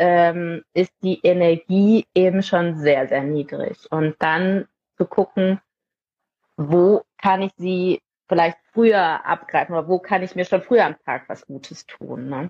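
This woman talks at a fairly slow pace with a medium pitch and ordinary pitch variation. She has a normal speaking voice. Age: 30s. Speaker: parenting mentor for mothers. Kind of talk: casual interview.

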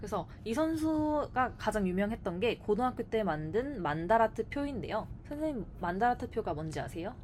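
Speaking at a moderate pace with hardly any pauses, a woman uses a fairly high pitch and very wide pitch swings. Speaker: Korean language teacher. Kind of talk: scripted casual chat.

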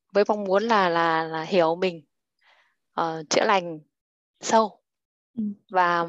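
Her pace is very slow, with long, frequent pauses. The woman's pitch is fairly low, and the background is quiet. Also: fairly even intonation. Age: 30s. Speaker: stay-at-home mother. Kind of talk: self-introduction.

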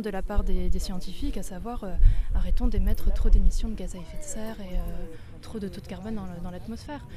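A moderately paced woman's voice amid noticeable background noise and audible room echo. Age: 30s. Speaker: climate activist. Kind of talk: interview at a protest.

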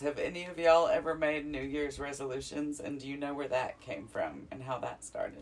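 There is noticeable background noise as a woman talks at a moderate pace. She has a Southern US accent. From Alabama. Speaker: podcast co-host. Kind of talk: casual chat.

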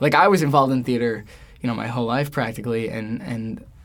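Here is a normal speaking voice with an American accent. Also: man. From New York, Queens. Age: 20s. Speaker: stage actor. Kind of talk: interview.

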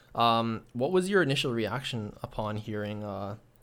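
A man with a Canadian accent talks at a moderate pace in a medium pitch, a plain, everyday voice, on a very clean recording with a silent background. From Toronto, Canada. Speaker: student podcast host. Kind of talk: interview.

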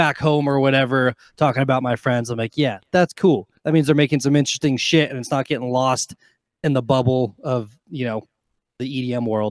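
A man with an American accent talks fairly quickly in an unremarkable speaking voice, pitched fairly high, with a dry, close sound and no echo. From Nevada, Carson City. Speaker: DJ/electronic music artist. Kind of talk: casual chat.

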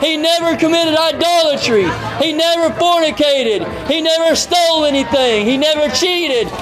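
Over crowd noise in the background, a man talks at a moderate pace with an extremely high pitch. His pitch varies in an ordinary way, and his loudness stays very even. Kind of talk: street sermon preached to passersby. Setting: outdoors, street. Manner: loud, declamatory, fervent, repeating phrases for emphasis.

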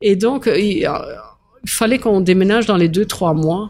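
In a very clean recording with a silent background, a woman has an unremarkable speaking voice at a fairly high pitch. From Belgium. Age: 60s. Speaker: mayor and former restaurant owner. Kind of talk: casual interview chat.

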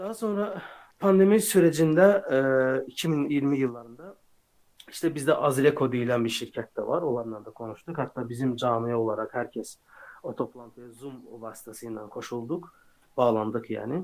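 This man talks at a fairly slow pace with a medium pitch, lively intonation and big swings in loudness. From Azerbaijan. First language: Azerbaijani (speaking Turkish). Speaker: software developer. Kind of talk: interview.

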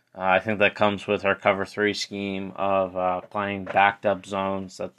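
A man's fairly low-pitched voice, fairly slow and monotone, with flat intonation. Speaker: podcast host. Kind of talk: solo sports podcast recap. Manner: halting, many filler words.

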